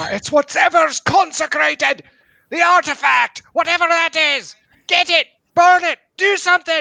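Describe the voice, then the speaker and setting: A man bellows in a put-on character voice at an extremely high pitch. He keeps a moderate pace. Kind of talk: comic overacting. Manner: bellowing, frantic.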